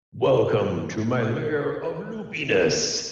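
A put-on character voice speaks at a very slow pace. Strong echo surrounds the recording. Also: man. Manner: grand, welcoming.

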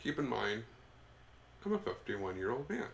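This is a man's voice. It carries noticeable vocal fry. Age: 50s. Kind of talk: casual chat.

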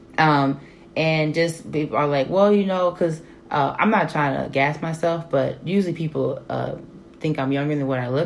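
A woman's very deep, low pitch at a moderate pace, with an American accent. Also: ordinary pitch variation. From Texas. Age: 30s. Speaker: social worker and PhD student. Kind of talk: casual chat.

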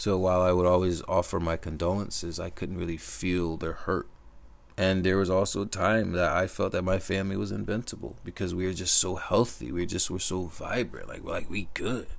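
A man speaks at a fairly quick pace in a very deep, low voice with vocal fry. His intonation stays fairly even. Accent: American. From US Northeast, Connecticut. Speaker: podcaster. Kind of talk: personal monologue. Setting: speaking into a microphone.

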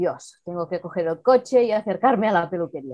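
A woman's voice has a dark, mellow tone and medium pitch. She speaks at a moderate pace with lively intonation. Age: 50s. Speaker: virtual assistant. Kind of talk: casual interview.

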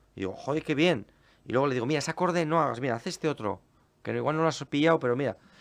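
A man's fairly high, very fast voice with vocal fry and ordinary pitch variation, over a quiet background. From Basque Country, Spain (Portugalete). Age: 40s. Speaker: folk musician. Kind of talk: casual chat.

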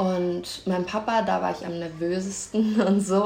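A woman speaks with audible room echo. Noticeable background noise runs behind her. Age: 20s. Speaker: university student. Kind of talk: casual chat.

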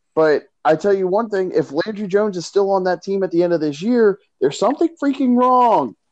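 With a dry, close sound and no echo, a man talks at a fairly quick pace in a high pitch. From Philadelphia area. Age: 20s. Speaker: sports podcast host. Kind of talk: casual chat.

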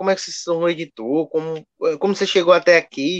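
A man's voice with ordinary pitch variation. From Pernambuco, Brazil (Garanhuns). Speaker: podcast editor. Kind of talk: casual chat.

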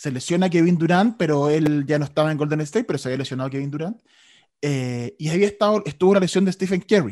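A man with a dark, mellow tone speaks at a fairly quick pace with lively intonation. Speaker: sports radio host. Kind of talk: casual chat.

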